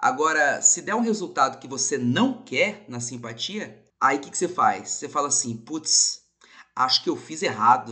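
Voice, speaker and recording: An animated man speaks at a moderate pace in a bright, sharp tone with fairly high pitch. His pitch swings very widely, and his loudness shifts a lot. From Brazil, São Paulo. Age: 30s. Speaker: podcast host. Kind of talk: casual monologue.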